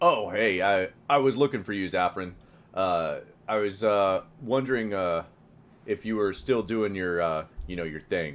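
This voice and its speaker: A man puts on a gruff character voice, fairly low in pitch. He keeps a moderate pace with ordinary pitch variation. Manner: hesitant, awkward.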